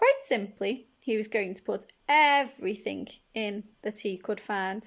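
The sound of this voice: This is an unforced reading voice. The words come out plainly.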